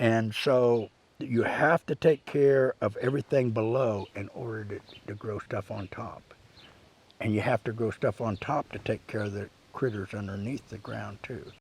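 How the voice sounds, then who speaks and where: A man speaks with a Midwestern US accent at medium pitch, with ordinary pitch variation and big swings in loudness. The sound is dry and close, with no echo. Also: moderate pace. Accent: rural Midwestern US. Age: 60s. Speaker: rancher. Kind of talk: interview monologue. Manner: casual, with frequent fillers.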